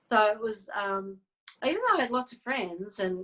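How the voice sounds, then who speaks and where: With an Australian accent, a woman speaks at a moderate pace, her medium pitch showing ordinary variation. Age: 60s. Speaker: psychic medium and healer. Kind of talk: interview. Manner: halting.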